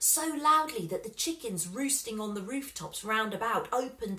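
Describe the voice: The reading aloud is plain, yet the intonation rises and falls in a lively way.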